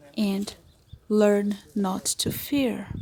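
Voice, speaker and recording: A woman speaks in a Portuguese accent at a fairly high pitch. Her voice is somewhat breathy. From Brazil. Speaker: witch and occultist. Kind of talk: vlog voice-over narration.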